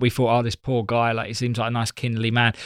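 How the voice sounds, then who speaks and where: A man with an Essex accent on a very clean recording with a silent background. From Essex, England. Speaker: comedian. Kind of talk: casual chat.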